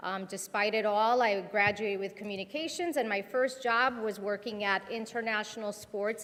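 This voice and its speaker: A woman with a Spanish accent, fairly high pitch, ordinary pitch variation and a moderate pace. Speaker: educator. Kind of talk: panel discussion.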